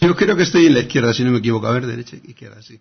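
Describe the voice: A man talks at a very fast pace with lively intonation and a medium pitch. His voice has vocal fry and a slightly husky edge.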